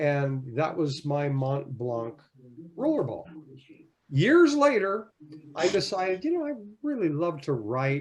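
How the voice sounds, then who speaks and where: Somewhat breathy and fairly high-pitched, a man speaks at a fairly slow pace with lively intonation and long, frequent pauses. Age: 70s. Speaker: fountain pen hobbyist guest. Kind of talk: casual chat. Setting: video call. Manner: halting.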